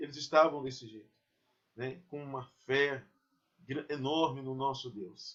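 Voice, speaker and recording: A man's fairly high voice at a fairly slow pace, fairly even in intonation, with big swings in loudness and long, frequent pauses. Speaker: pastor. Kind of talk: sermon.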